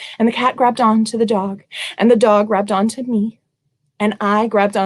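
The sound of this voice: The background stays quiet. Fairly even intonation marks this unforced reading voice.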